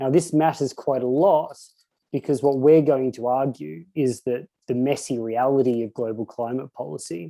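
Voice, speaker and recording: A man with an Australian accent speaks at a fairly slow pace. His medium-pitched voice carries a dark, mellow tone. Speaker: economic researcher. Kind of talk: conference presentation. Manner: hesitant, many fillers and repetitions.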